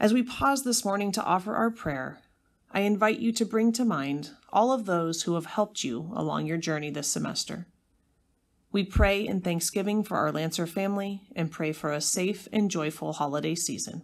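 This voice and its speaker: Recorded very cleanly against a silent background, a woman speaks at a moderate pace in an ordinary speaking voice. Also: medium pitch for a woman. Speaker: school announcer leading prayer. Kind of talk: school morning pledge and devotional prayer, solemn and reverent. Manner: formal.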